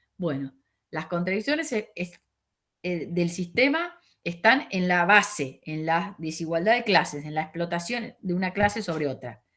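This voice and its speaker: A woman speaks with lively intonation at a fairly low pitch. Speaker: sociology teacher. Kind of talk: lecture over video call. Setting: video call. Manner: fast; halting, many fillers.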